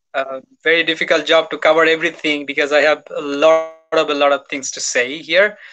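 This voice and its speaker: Over noticeable background noise, a man with a fairly high pitch and a bright, sharp tone talks at a fairly quick pace in monotone, flat intonation. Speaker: IELTS expert; guest. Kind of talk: live webinar Q&A. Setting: video call. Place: home room. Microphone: video call.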